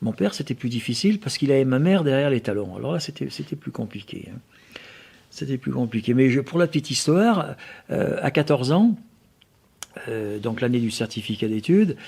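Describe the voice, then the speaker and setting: Speaking at a fairly quick pace with long, frequent pauses, a man uses lively intonation and a dark, mellow tone at a medium pitch for a man. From France, Auvergne (Riom area). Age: 60s. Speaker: motorcycle museum owner and collector. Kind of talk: interview. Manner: halting, many repetitions.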